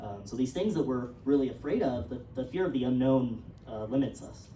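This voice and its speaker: A woman's very deep, low voice with a New Mexico accent, fairly quick in pace, with audible room echo and noticeable background noise. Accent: New Mexican. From New Mexico, Taos. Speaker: writer. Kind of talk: talk to audience at premiere. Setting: cinema stage with audience. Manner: halting, many fillers.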